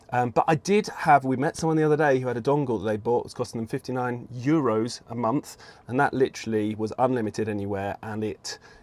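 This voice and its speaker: Here a man talks at a medium pitch with ordinary pitch variation. His pace is fairly quick. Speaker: podcast co-host. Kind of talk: casual podcast conversation. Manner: loud.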